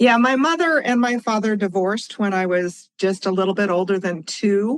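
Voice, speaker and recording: In an American accent, a woman with a plain, everyday voice speaks with ordinary pitch variation. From US West Coast, California Central Coast. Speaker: financial consultant and advocate. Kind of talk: interview.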